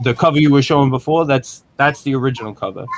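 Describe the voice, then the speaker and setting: A man is speaking. He has a New York accent. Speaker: comic book creator. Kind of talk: casual chat. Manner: halting, repeats words.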